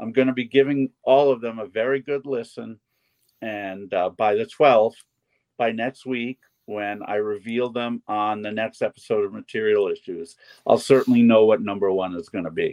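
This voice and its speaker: Speaking with a plain, everyday voice, a man keeps a moderate pace, a medium pitch and fairly even intonation. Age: 60s. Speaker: festival organizer and co-host. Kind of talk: casual chat.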